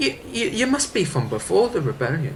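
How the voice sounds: A man puts on a high-pitched character voice with very wide pitch swings, talking fairly quickly. Faint background noise sits behind him.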